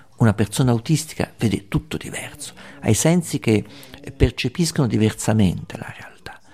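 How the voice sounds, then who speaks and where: A normal speaking voice at a moderate pace, with lively intonation and big swings in loudness. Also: man, medium pitch for a man. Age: 60s. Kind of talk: documentary narration.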